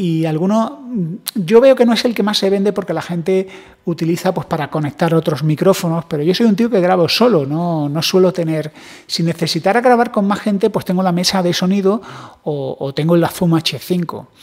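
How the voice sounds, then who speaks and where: A man at a high pitch and moderate pace, with ordinary pitch variation and a quiet background. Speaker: tech vlogger. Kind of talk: casual vlog chat. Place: home room. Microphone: handheld.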